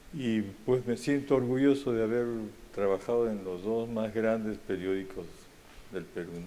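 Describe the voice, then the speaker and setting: A dark, mellow tone comes at a fairly slow pace with audible room echo. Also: man, medium pitch for a man, ordinary pitch variation. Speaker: retired journalist. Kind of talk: conversational interview.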